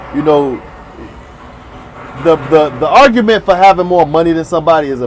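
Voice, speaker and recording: A man speaks in a normal speaking voice at a fairly high pitch. His pace is fairly quick, and his pitch varies in an ordinary way. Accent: American. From South Florida, Miami area. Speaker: YouTube commentator. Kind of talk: casual monologue commentary.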